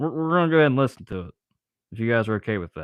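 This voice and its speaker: A man with an American accent. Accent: sounds Southern to some. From Ohio. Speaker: YouTube live streamer and amateur songwriter. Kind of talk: casual live stream chat. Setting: workshop, repairing a weed eater. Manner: halting, filler-heavy.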